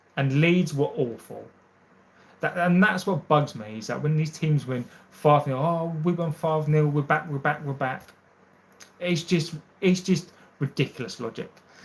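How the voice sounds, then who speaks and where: A man talks at a moderate pace in a fairly high, somewhat breathy voice with ordinary pitch variation and long, frequent pauses. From Essex, England. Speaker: football fan channel host. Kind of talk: live stream chat reading comments. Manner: casual with many fillers and repeated words.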